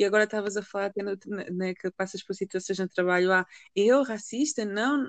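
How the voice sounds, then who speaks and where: A woman speaks at medium pitch with ordinary pitch variation. The sound is dry and close with no echo. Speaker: podcast co-host. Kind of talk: casual chat. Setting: remote recording.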